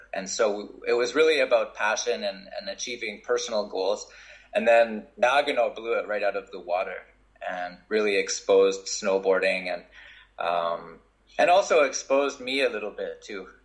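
Speaking at a moderate pace, a man talks with a Canadian accent. His loudness swings widely. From Canada. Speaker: Olympic snowboarder. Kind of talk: interview.

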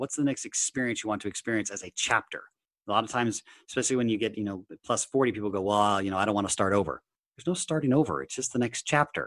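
Against a quiet background, a man talks at a very fast pace. His intonation is lively. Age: 40s. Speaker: personal development coach and hypnotherapist. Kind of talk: interview. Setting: remote call. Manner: animated.

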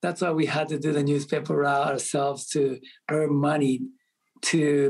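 A man speaks at a moderate pace with a Japanese accent. His pitch sits fairly high. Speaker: restaurant entrepreneur. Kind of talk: interview. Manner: frequent laughter.

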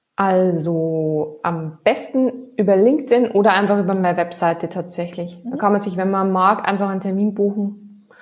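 The speaker has a slight Bavarian accent and ordinary pitch variation. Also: woman. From Bavaria, Regensburg area. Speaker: digital marketing consultant. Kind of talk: casual interview.

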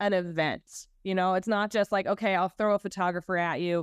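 The voice has an animated tone and a dry, close sound with no echo. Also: woman. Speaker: creative director and brand coach. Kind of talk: casual interview.

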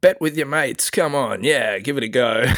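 A man talks in an Australian accent on a very clean recording with a silent background. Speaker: NFT project founder. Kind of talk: interview.

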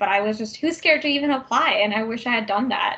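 A woman with a Canadian accent talks at a very fast pace. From Vancouver, Canada. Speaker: tech program manager. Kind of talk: interview.

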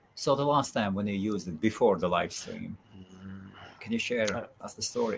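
On a very clean recording with a silent background, a man has an unremarkable speaking voice. His pitch is fairly low, with ordinary variation, at a moderate pace. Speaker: event organizer and host.

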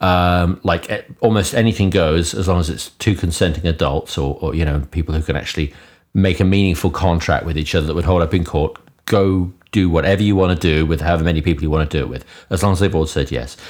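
A very deep, low-voiced man with a British accent, talking very fast. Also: fairly even intonation, very clean recording, silent background. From UK. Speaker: podcast co-host. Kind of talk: casual interview chat.

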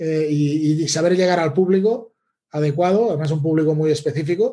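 A man speaks at a moderate pace in a dark, mellow tone. His pitch is fairly high and varies in an ordinary way. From Catalonia, Spain (Lleida area). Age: 40s. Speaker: email marketing consultant. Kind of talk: interview.

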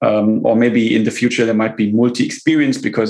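A man speaks with a German accent and fairly even intonation. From Germany. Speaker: tech company CEO. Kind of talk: interview.

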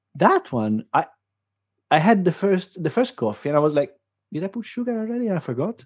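A high-pitched man with an Italian accent, very wide pitch swings and a fairly quick pace, in a dry, close sound with no echo. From Italy. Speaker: podcast co-host. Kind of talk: casual chat.

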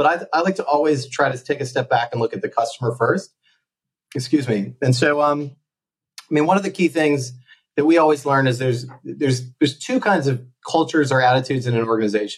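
A man with an American accent talks at a very fast pace, his pitch fairly high and somewhat breathy. His pitch variation is ordinary. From US. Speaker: company founder and sales executive. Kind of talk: podcast interview.

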